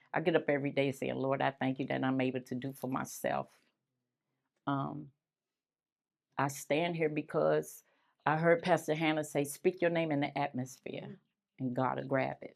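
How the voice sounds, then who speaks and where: A woman with a very deep, low pitch and vocal fry speaks at a moderate pace with fairly even intonation and long, frequent pauses. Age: 60s. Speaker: community facilitator speaking at a neighborhood meeting. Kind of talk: community talk. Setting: standing in front of an audience.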